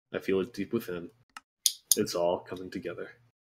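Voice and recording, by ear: A man puts on a character voice that sounds croaky, with a very deep, low pitch. He speaks at a fairly quick pace.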